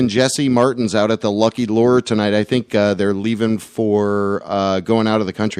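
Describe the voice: Fairly even intonation across plain reading aloud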